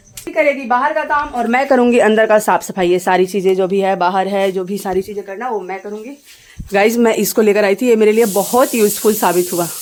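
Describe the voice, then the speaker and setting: Noticeable background noise accompanies a woman speaking at a medium pitch and moderate pace. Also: ordinary pitch variation. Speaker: vlogger. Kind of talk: casual vlog.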